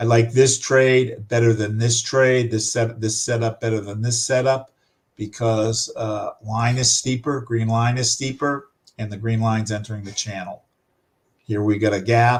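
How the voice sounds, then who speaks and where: Somewhat breathy and pitched in a medium range, this man speaks at a moderate pace with monotone, flat intonation. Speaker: forex trading instructor. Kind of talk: live trading tutorial. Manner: halting with many fillers.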